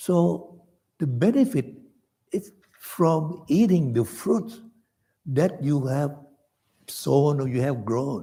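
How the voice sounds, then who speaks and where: A man with a fairly high pitch speaks at a very slow pace, his somewhat breathy voice dark and mellow in tone, with very wide pitch swings and long, frequent pauses. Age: 80s+. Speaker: Buddhist teacher. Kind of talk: dharma class lecture.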